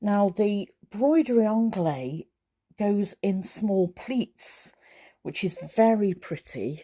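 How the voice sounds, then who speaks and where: A woman with a Cheshire accent speaks at a very slow pace, medium in pitch and lively in intonation. The recording is very clean, with a silent background. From Mid-Cheshire, England. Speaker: crafter, quilter. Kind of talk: casual talk to camera.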